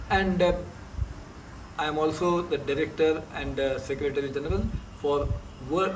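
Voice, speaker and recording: There is audible room echo and noticeable background noise around this man, whose pitch sits fairly high. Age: 60s. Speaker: sports coach and federation official. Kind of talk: interview.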